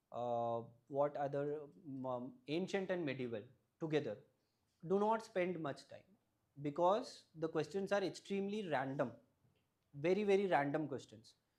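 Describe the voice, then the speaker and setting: A man's fairly high voice in a Keralan accent, moderate in pace, with lively intonation and long, frequent pauses. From Tamil Nadu, India (family from Kerala). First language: Malayalam. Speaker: civil service exam topper. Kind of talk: advice talk to students. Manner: halting, many fillers.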